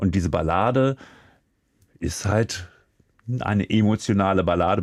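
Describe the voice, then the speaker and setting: A man with a fairly low pitch talks at a fairly slow pace with lively intonation. The recording is very clean, the background silent. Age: 50s. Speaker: music expert co-host. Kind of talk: casual chat.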